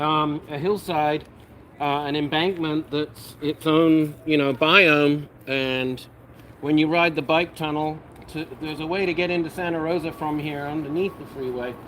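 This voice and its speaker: A man with an American accent talks at a fairly slow pace in a fairly high pitch. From United Kingdom. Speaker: cannabis grow livestream host. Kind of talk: casual livestream chat. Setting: live stream. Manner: animated.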